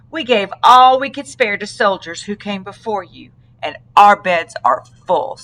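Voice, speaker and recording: Using a put-on character voice at medium pitch, a woman speaks at a moderate pace with big swings in loudness. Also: lively intonation. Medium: read story.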